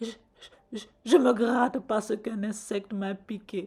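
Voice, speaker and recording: A put-on, female-sounding character voice speaks at a fairly high pitch and a moderate pace. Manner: stammering, fearful.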